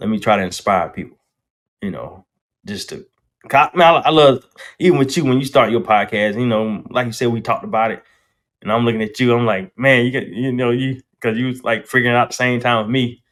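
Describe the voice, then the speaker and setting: Using a North Carolina accent, a man talks at a fairly quick pace, his medium pitch showing ordinary variation. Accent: Southern US, North Carolina. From US South, North Carolina. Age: 40s. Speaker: barber and entrepreneur. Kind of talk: casual chat. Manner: fast, slightly mumbled.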